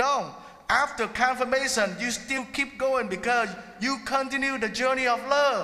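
A man with a non-native accent speaks in a raised, projected voice at a moderate pace, his pitch extremely high and his intonation fairly even, over noticeable background noise. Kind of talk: sermon. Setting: church.

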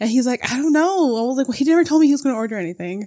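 A woman with a high voice sounds animated, her intonation lively. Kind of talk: casual chat.

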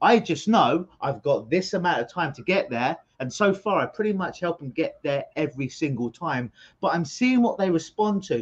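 Talking at a moderate pace, a man with a London accent uses a high, animated voice with very wide pitch swings. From London, England. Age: 40s. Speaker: hypnotherapist. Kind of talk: interview. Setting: video call.

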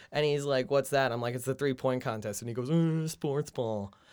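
A man's fairly high pitch in an unremarkable speaking voice, fairly quick pace and ordinary pitch variation, on a very clean recording with a silent background. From New Jersey. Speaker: comedian and podcast co-host. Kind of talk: casual chat.

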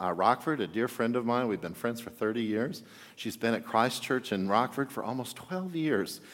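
With an ordinary speaking voice, a man speaks at a moderate pace in a medium pitch, his intonation lively. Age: 50s. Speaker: pastor. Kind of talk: sermon.

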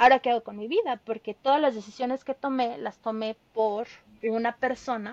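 A woman's high voice with ordinary pitch variation, at a fairly slow pace, in a dry, close sound with no echo. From Mexico, State of Mexico. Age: 30s. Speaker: veterinarian and traveler. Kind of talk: storytelling interview.

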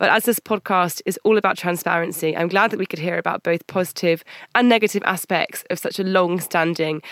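In a British accent, a woman speaks at a fairly low pitch and fairly quick pace with fairly even intonation, in a dry, close sound with no echo. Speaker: podcast host, recruiter and journalist. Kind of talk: scripted intro and outro. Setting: studio.

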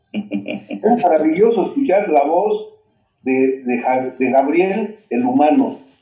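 Over music in the background, a man speaks at a high pitch and a very slow pace, with very wide pitch swings. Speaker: singer. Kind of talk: interview.

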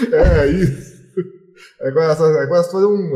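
Somewhat breathy, a man's voice comes through. His tone is dark and mellow. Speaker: rock music fan. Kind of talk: casual chat. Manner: halting.

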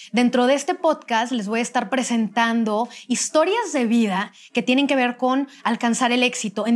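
A woman with an unremarkable speaking voice talks at a fairly slow pace. Her pitch is fairly high, with ordinary pitch variation. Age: 30s. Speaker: podcast host. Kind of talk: casual interview.

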